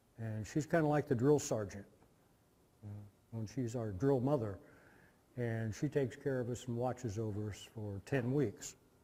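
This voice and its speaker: With an American accent, a man speaks at a moderate pace and a medium pitch. His voice is somewhat breathy, with ordinary pitch variation. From US Midwest, Indiana. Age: 60s. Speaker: guest lecturer, former Peace Corps volunteer. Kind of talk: lecture. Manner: casual storytelling with filler words.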